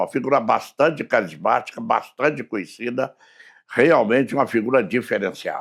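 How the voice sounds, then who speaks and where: With lively intonation and a medium pitch, a man talks at a moderate pace in a plain, everyday voice. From southern Minas Gerais, Brazil (Muzambinho). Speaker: radio broadcaster and political aide. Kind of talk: casual interview chat.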